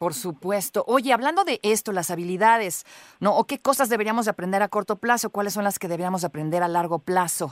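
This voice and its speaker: The speaker is a woman with a Mexican accent, talking at a fairly quick pace. The recording is very clean, with a silent background. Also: medium pitch for a woman, lively intonation. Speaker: radio host. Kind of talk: radio interview.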